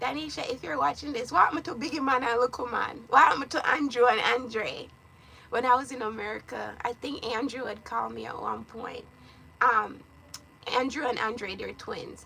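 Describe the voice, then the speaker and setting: A woman speaks at a high pitch in an animated tone and at a moderate pace, with ordinary pitch variation. Her loudness swings widely over noticeable background noise. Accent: Jamaican. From Jamaica. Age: 30s. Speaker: lifestyle vlogger. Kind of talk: casual chat.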